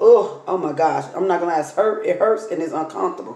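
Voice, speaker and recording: A woman talks at a moderate pace with a dark, mellow tone and fairly even intonation. Her pitch is fairly low, and the room echo is audible. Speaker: vlogger. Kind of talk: casual vlog chat, storytelling. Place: home room. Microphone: phone near.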